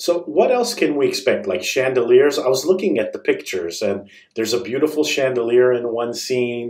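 The background is quiet, though there is audible room echo. A man talks with hardly any pauses. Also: moderate pace. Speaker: radio host. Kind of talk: interview. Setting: studio. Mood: friendly, smiling. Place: studio.

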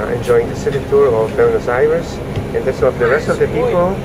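A man's voice, with ordinary pitch variation, comes through loud background noise. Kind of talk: casual vlog chat. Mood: cheerful, upbeat. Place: bus.

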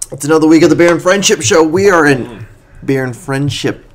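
Here a man speaks at a moderate pace with fairly high pitch. He has an unremarkable speaking voice. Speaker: podcast co-host. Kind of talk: casual comedic chat. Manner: laughs often, loose and rambling.

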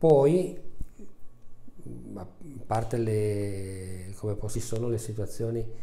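With audible room echo, a man talks at a very slow pace in a fairly low, somewhat breathy voice with ordinary pitch variation. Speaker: family doctor. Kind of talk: interview answer. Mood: calm, reflective. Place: office. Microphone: lapel.

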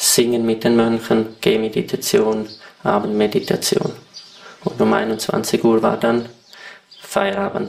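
Noticeable background noise accompanies a man's medium-pitched voice. He speaks at a very slow pace. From Switzerland. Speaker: retreat participant. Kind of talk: interview.

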